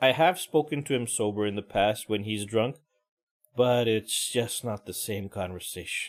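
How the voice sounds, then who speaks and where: This is an unremarkable speaking voice at a moderate pace. Its pitch variation is ordinary. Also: man. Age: middle-aged. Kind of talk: casual talk to camera. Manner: ranting, conversational.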